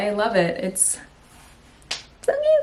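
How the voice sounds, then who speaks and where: This voice belongs to a woman. It carries a somewhat breathy quality. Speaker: vlogger. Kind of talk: casual vlog. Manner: animated.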